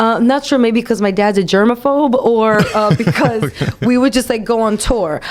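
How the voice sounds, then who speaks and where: Over noticeable background noise, a woman with a New York accent speaks at a moderate pace, with very even loudness and ordinary pitch variation. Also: fairly high pitch for a woman. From Brooklyn, New York. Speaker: comedian, voice-over actress, podcast co-creator, producer, writer. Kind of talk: casual, comedic interview answer.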